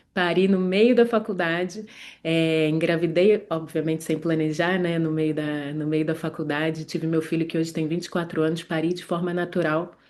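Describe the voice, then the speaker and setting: With a Rio de Janeiro accent, a woman speaks at a moderate pace with hardly any pauses. Her pitch is fairly low and her intonation fairly even. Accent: Carioca Brazilian Portuguese. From Rio de Janeiro, Brazil. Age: 40s. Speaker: gynecologist. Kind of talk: online class. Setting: livestream from her medical office. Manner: hesitant, many fillers.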